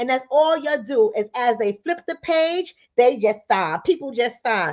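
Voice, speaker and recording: Her pitch high and swinging very widely, a woman talks at a moderate pace with a New York accent. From New York, the Bronx. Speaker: livestream host, relationship coach. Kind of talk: live stream talk to viewers. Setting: in bed at home. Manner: animated.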